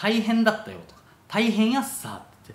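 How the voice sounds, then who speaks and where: Audible room echo surrounds a man with an Okinawan accent whose voice shows vocal fry. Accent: Okinawan-accented Japanese. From Okinawa, Japan. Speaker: travel vlogger. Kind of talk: casual talk to camera. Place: home room. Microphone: phone near.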